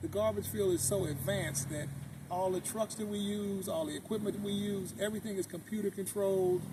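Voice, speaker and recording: Noticeable background noise sits under a man speaking at a fairly quick pace, with a high pitch and ordinary pitch variation. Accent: American. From US West Coast, Oakland, California. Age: 60s. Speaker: car owner and city sanitation supervisor. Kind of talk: interview.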